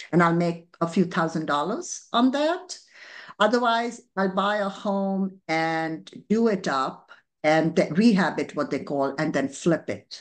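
A woman with an Indian accent speaks very slowly at medium pitch with lively intonation over a quiet background. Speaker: entrepreneur. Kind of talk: interview.

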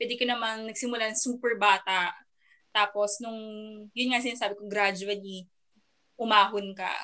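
A woman's fairly high, bright, sharp voice at a moderate pace, monotone and flat, with long, frequent pauses. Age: 20s. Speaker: podcast co-host.

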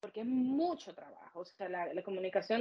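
A plain, everyday voice from a woman, fairly high in pitch, with lively intonation. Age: 30s. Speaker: makeup artist and beauty studio owner. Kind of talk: interview.

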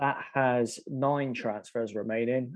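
A man with an ordinary speaking voice talks at a medium pitch and a fairly slow pace, keeping his intonation fairly even. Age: 30s. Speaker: fantasy football podcast co-host. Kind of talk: casual chat.

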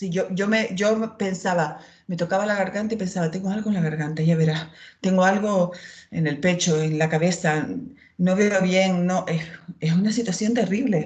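A woman's somewhat breathy, medium-pitched voice at a moderate pace. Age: 50s. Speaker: former anxiety patient. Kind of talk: testimony.

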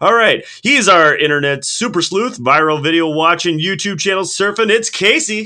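A man's raised, projected voice, high-pitched with a bright, sharp tone, lively intonation, a moderate pace and hardly any pauses. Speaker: podcast co-host. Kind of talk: casual chat.

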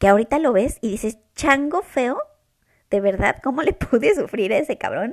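A woman talks with very wide pitch swings. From Mexico. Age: 20s. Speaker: podcast host. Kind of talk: casual chat. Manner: serious, hesitant.

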